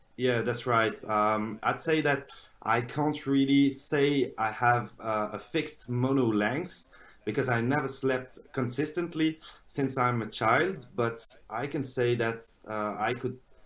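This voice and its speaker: This man has a French accent and a medium pitch. He talks at a fairly slow pace with ordinary pitch variation. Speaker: polyphasic sleeper. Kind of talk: interview. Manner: halting, many fillers.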